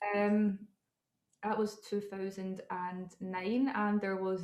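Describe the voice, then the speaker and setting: A woman is speaking. She has a Scottish accent. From Scotland. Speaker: model and entrepreneur. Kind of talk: interview.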